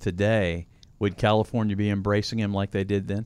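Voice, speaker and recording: Speaking at a fairly quick pace, a man has a normal speaking voice with a fairly low pitch. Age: 50s. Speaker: podcast co-host. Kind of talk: casual chat.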